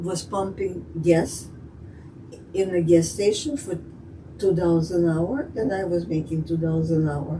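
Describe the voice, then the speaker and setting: Through noticeable background noise, a woman with a fairly low pitch speaks fairly slowly, leaving long, frequent pauses. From Russia. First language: Russian. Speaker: immigrant telling life story. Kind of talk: interview. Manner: halting.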